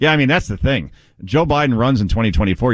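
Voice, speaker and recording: A man speaks at a very fast pace with an American accent and lively intonation. The background is quiet. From New Jersey. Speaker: fill-in radio talk show host. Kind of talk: talk radio.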